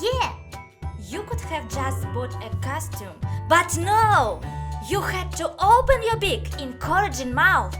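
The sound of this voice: A woman's put-on character voice, extremely high-pitched with big pitch swings, slow in pace, over faint music in the background. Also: fairly bright tone.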